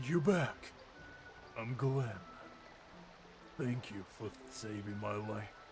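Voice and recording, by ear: A man's put-on character voice at a medium pitch, very slow with long, frequent pauses and ordinary pitch variation, over clear background noise. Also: big swings in loudness.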